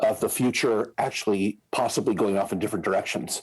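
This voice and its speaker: This man speaks at a fairly low pitch with an American accent. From US Midwest, Indiana. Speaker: scenario planning consultant. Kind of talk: podcast interview. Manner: halting, many fillers.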